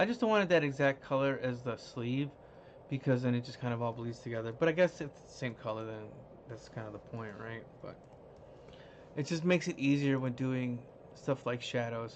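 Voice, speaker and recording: The pace is fairly quick, with ordinary pitch variation and big swings in loudness. It is an unremarkable speaking voice. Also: man. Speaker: digital artist livestreaming design work. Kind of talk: live-stream tutorial. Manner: casual, thinking aloud.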